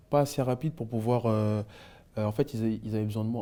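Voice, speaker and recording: Fairly low male voice with fairly even intonation. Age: 30s. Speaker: former basketball player. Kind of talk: interview. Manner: hesitant, many fillers.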